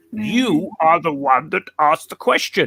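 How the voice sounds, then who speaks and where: A man puts on a character voice, pitched high. He delivers it at a moderate pace. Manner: otherworldly, speaking through the speaker.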